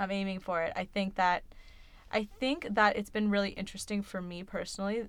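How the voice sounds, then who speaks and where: A woman's ordinary speaking voice at a medium pitch, fairly quick and fairly even in intonation, in a very clean recording with a silent background. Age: 20s. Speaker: podcast co-host. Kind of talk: casual chat.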